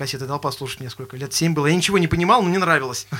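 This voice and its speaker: Speaking at a very fast pace, a man uses lively intonation and a fairly high pitch with a bright, sharp tone. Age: 20s. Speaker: guitarist and songwriter in a band. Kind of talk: casual interview chat.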